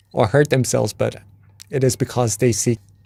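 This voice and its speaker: A man's medium-pitched, dark, mellow voice with a Thai accent and fairly even intonation. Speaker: meditation teacher. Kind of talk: wisdom talk. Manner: casual.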